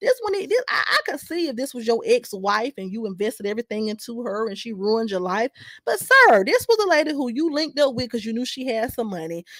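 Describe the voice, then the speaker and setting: In a dry, close sound with no echo, a woman speaks in an animated tone at a high pitch with very wide pitch swings. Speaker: YouTube commentator. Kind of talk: casual reaction commentary, reading viewer comments. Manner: stumbling, halting at times.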